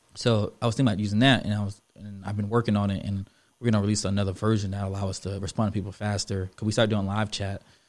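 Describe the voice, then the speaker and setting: A man talks very fast in a Florida accent, with fairly low pitch and monotone, flat intonation. The recording is very clean, with a silent background. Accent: fast Florida-style. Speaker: business co-founder guest. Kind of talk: casual interview chat. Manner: fast talker.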